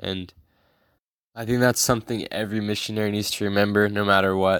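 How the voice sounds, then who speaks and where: Fairly low-pitched man with an American accent, fairly quick and monotone, flat in intonation, on a very clean recording with a silent background. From Georgia, US South. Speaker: missionary. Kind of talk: testimony.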